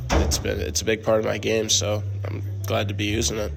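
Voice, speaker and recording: A man with a fairly low pitch and an American accent at a fairly quick pace, with audible room echo. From Missouri, US. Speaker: junior hockey player. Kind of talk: sports interview.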